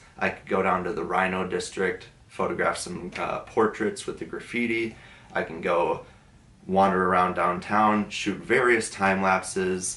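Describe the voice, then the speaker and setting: Using a normal speaking voice, a man speaks at a fairly low pitch. His pace is fairly slow and his intonation fairly even. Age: 20s. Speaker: photographer and design student. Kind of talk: documentary interview.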